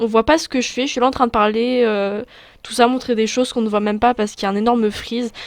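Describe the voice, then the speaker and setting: A woman speaks very fast at a fairly high pitch, her intonation monotone and flat. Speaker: youtuber. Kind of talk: casual vlog chat. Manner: halting, stammering.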